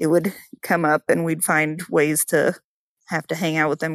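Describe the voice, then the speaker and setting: At a moderate pace, a normal speaking voice comes through dry and close with no echo, on a very clean recording with a silent background. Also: woman. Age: 30s. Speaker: family member guest, cousin of host. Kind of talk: casual chat.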